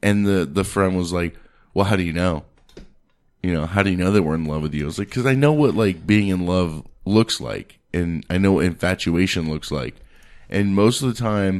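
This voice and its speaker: Speaking at a moderate pace, a man with a very deep, low voice uses an animated tone and ordinary pitch variation. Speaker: podcast host. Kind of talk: casual chat. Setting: studio. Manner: loud.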